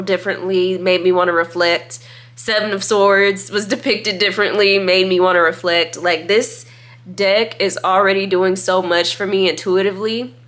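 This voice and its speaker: A woman talks at a medium pitch while noticeable background noise carries on around her. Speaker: tarot reader and YouTuber. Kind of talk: casual deck review monologue. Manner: animated.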